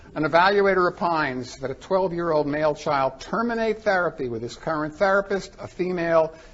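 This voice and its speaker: Over noticeable background noise, a man speaks fairly quickly with a fairly high pitch and lively intonation. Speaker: forensic psychologist presenter. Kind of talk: conference presentation. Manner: fast.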